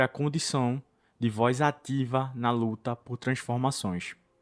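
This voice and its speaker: In a very clean recording with a silent background and a dry, close sound with no echo, a man with an unremarkable speaking voice talks at a fairly slow pace, medium in pitch, with ordinary pitch variation. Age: 20s. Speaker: podcast host. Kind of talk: scripted narration.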